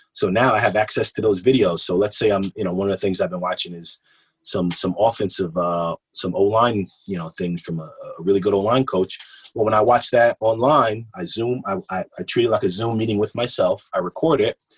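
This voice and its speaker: A man speaks in a fairly low, somewhat breathy voice with ordinary pitch variation. The sound is dry and close, with no echo. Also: fairly quick pace. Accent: American. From Kingston, New York. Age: 30s. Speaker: high school football coach. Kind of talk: casual chat.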